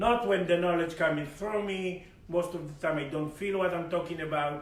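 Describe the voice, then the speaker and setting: A man with a high pitch talks at a moderate pace amid noticeable background noise and audible room echo. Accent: Israeli. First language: Hebrew. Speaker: spiritual teacher and healer. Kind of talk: spiritual lecture. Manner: halting.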